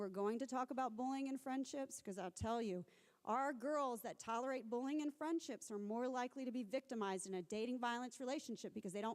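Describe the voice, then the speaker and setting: In an American accent, a woman with a high voice speaks at a fairly quick pace, her pitch varying in an ordinary way. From US South. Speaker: researcher and academic speaker. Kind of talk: conference talk. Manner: fast.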